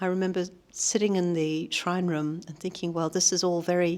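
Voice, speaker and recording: A woman speaks with a New Zealand accent. Her pitch is fairly low and her pace moderate. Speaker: Buddhist practitioner, long-time monastery volunteer. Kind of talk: interview. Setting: monastery. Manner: hesitant, with frequent fillers.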